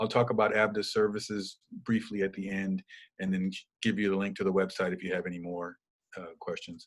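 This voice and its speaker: Over a silent background in a very clean recording, a man with a fairly low pitch speaks at a fairly quick pace in a monotone, flat intonation. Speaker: domestic violence educator and trainer. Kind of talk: presentation. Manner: fast.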